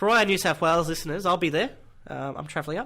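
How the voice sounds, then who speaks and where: In an Australian accent, a man speaks at a fairly high pitch with ordinary pitch variation and a bright, sharp tone, on a very clean recording with a silent background. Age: young. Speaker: podcast host. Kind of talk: announcements; podcast interview.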